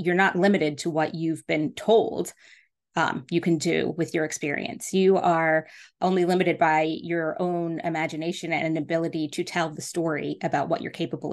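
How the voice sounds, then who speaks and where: At a moderate pace and with fairly even intonation, an ordinary speaking voice comes through against a quiet background. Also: woman. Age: 40s. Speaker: podcast host and business coach. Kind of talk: solo podcast monologue. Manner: casual, many filler words.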